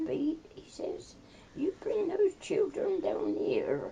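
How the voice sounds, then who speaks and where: Using a put-on character voice with an extremely high pitch, a man speaks at a very slow pace over clear background noise. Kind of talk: rustic, rural.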